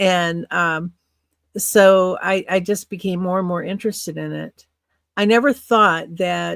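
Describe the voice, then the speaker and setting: On a very clean recording with a silent background, a woman with a Midwestern American accent talks in a fairly low pitch and fairly even intonation. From US Midwest, northern Illinois (Quad Cities). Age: 60s. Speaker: podcast storyteller. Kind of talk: interview, personal recollection.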